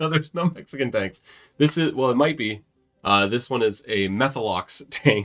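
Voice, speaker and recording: Lively intonation and a moderate pace in an ordinary speaking voice. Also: man, medium pitch for a man. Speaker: gaming YouTuber. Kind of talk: casual instructional talk while gaming.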